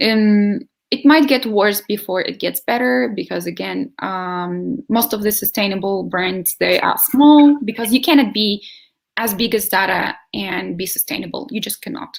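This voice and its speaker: Using a plain, everyday voice, a woman speaks at a moderate pace with medium pitch and lively intonation. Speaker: sustainable living advocate. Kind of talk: video interview.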